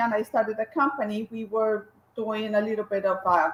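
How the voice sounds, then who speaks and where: A woman with a Colombian accent. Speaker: graphic designer and business owner. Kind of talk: interview. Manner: hesitant, many fillers and restarts.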